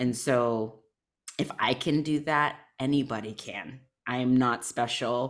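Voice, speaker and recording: A woman's very deep, low-pitched voice moves at a fairly slow pace with fairly even intonation. The recording is very clean, with a silent background. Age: 40s. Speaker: spiritual guide and somatic healer. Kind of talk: casual interview chat.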